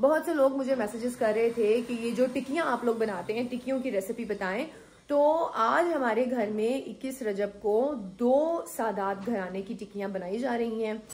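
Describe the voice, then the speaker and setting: Her normal speaking voice, fairly high in pitch with ordinary pitch variation, belongs to a woman. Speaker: vlogger. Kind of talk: casual vlog talk. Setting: at home.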